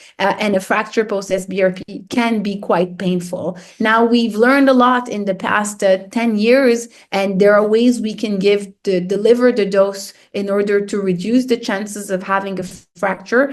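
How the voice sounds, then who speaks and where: With a slight French accent, a woman speaks at a moderate pace in a medium pitch with fairly even intonation. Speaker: radiation oncologist. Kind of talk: lecture. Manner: hesitant, many fillers and repetitions.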